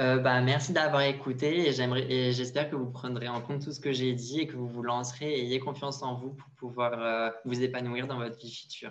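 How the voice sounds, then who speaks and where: A man speaks at a moderate pace with monotone, flat intonation. His loudness swings widely. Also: medium pitch for a man, hardly any pauses. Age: 20s. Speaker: fashion model and university student. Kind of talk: interview.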